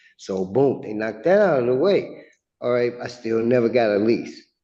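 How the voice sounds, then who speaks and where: A man's medium-pitched voice, dark and mellow in tone, with audible room echo. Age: 60s. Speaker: tenant in eviction hearing. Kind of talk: court testimony. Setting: courtroom. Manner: halting.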